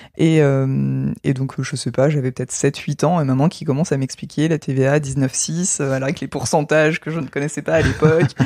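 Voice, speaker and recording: A woman with a very deep, low pitch talks at a moderate pace with hardly any pauses and fairly even intonation. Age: 30s. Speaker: IT worker with a doctorate. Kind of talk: interview.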